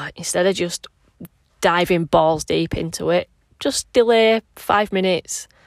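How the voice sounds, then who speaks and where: A woman speaks with a Yorkshire accent at a fairly slow pace. The sound is dry and close, with no echo. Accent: northern English (Yorkshire). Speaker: personal trainer and podcast host. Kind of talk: casual solo monologue. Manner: rambling, casual.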